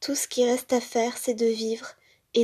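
A woman speaks in a fairly high voice with a dark, mellow tone. Her delivery is intense and monotone, with flat intonation. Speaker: podcaster. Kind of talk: reading aloud.

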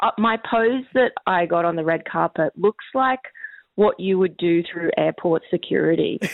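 This is an unremarkable speaking voice from a woman. Her pitch is fairly low, with ordinary pitch variation. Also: moderate pace. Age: 40s. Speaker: comedian. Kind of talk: interview.

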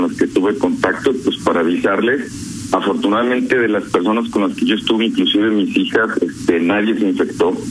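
Male speech with noticeable background noise and audible room echo. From León, Guanajuato, Mexico. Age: 50s. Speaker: COVID-19 survivor. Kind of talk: radio phone interview.

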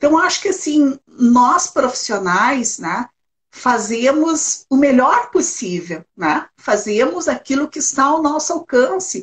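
A woman's high voice with very wide pitch swings at a very slow pace. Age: 60s. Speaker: retired social worker, elder-rights council president. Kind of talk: interview conversation.

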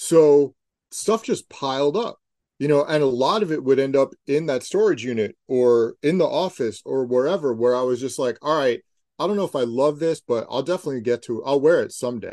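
In a dry, close sound with no echo, a man uses an ordinary speaking voice, fairly high in pitch with ordinary pitch variation. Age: 50s. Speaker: sneaker journalist and author. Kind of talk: casual interview.

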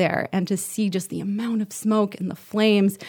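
In an American accent, a woman with an ordinary speaking voice talks at a fairly quick pace and medium pitch, on a very clean recording with a silent background. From United States. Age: 30s. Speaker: TV journalist. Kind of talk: casual interview.

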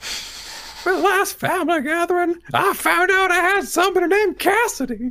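Extremely high-pitched, put-on character voice. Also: moderate pace.

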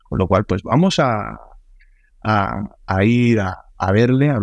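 Dry and close with no echo over a quiet background, a man's fairly low voice carries lively intonation. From Sicily, Italy. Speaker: meningitis survivor, quadruple amputee. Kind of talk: interview.

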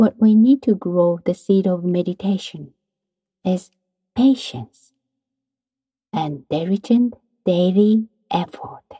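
A woman speaks at a very slow pace with long, frequent pauses, her medium-pitched voice somewhat breathy, dark and mellow, with lively intonation and a calm, soothing tone in a dry, close sound with no echo. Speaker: meditation teacher. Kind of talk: guided meditation. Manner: calm, slow, instructive; soft-spoken, soothing.

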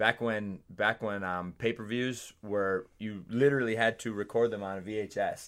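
On a very clean recording with a silent background, a man with an American accent and an unremarkable speaking voice talks fairly slowly at a fairly low pitch with fairly even intonation. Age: 30s. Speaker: fitness trainer and PE teacher. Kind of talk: casual chat.

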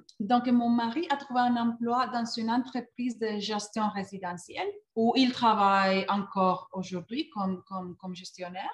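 In a Spanish accent, a woman with a fairly high pitch talks at a moderate pace with hardly any pauses and ordinary pitch variation. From Colombia. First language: Spanish (speaking French). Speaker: learning experience designer. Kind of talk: interview. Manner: halting, with many repeated words.

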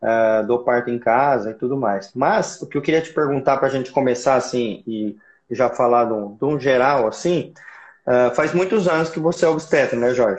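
With an unremarkable speaking voice, a man speaks at a moderate pace with a medium pitch and ordinary pitch variation. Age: 40s. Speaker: obstetrician. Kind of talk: casual chat. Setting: Instagram live video.

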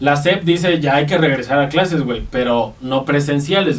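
Over noticeable background noise, a man with a fairly high pitch talks with ordinary pitch variation. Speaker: podcast co-host. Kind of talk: casual chat.

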